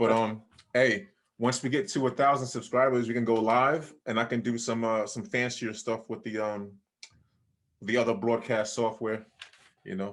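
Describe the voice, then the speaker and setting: The speaker has a New York accent. Pitch moves with ordinary variation. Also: man. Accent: New York accent, fairly pronounced. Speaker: poker vlogger, co-host. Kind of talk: scripted intro; casual interview. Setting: video call.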